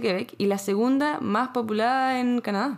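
The woman's fairly high pitch shows ordinary variation as she talks at a moderate pace. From Chile, Santiago (La Reina). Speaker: podcast co-host. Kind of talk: casual chat.

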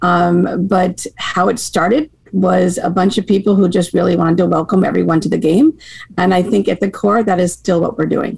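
With an American accent, a woman uses an ordinary speaking voice at medium pitch, speaking at a moderate pace with ordinary pitch variation and very even loudness. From Maine, US. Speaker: hockey association director. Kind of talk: casual interview chat.

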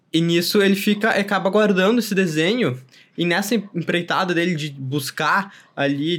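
Recorded very cleanly against a silent background, a man speaks at a high pitch and a moderate pace. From southern Brazil. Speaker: podcast host. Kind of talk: casual chat.

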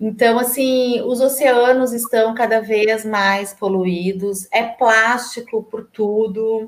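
At a very slow pace, a woman with a fairly high voice speaks with ordinary pitch variation. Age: 40s. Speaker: environmental sustainability professional. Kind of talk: casual interview. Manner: halting, many fillers.

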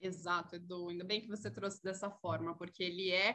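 Her voice sits at a medium pitch for a woman and carries a bright, sharp tone. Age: 40s. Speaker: corporate sustainability executive. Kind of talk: interview.

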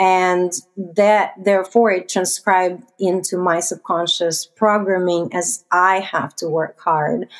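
The speaker talks at a very slow pace with hardly any pauses, in a Russian accent and fairly even intonation. The recording is very clean, with a silent background. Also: woman, medium pitch for a woman. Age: 30s. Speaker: investor. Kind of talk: interview.

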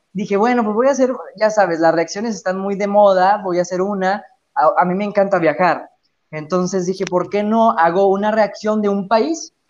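A man at high pitch and a moderate pace, with ordinary pitch variation. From Mexico, Chihuahua (north). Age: 20s. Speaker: radio presenter and YouTuber. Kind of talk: casual chat.

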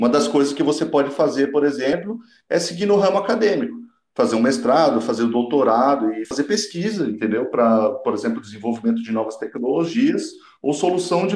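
This man's pitch swings very widely. He talks at a fairly quick pace. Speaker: engineering student. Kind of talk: casual chat.

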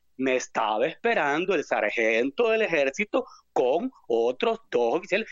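A man talks with very wide pitch swings. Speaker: caller. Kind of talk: political rant.

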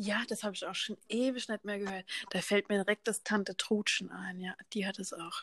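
A woman at a moderate pace, with fairly even intonation, in a dry, close recording free of echo. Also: medium pitch for a woman. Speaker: podcast co-host. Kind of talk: casual chat. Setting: home basement.

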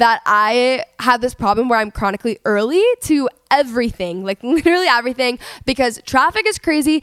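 Her tone is animated and her intonation lively. The woman keeps a moderate pace. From Texas, Dallas. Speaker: podcast host. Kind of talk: solo podcast intro; casual chat. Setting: home recording.

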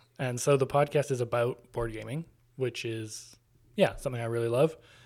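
A man speaks at a moderate pace in an ordinary speaking voice. The recording is very clean, with a silent background. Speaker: board game podcaster. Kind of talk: casual chat.

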